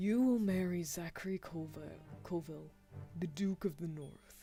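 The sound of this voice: Over music in the background, a put-on character voice at a middle pitch moves along at a moderate pace.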